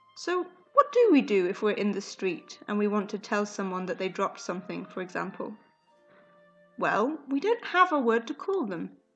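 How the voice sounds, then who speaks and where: Over music in the background, a woman with a British accent speaks at a moderate pace. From UK. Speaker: English teacher. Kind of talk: educational podcast. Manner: fairly normal pace.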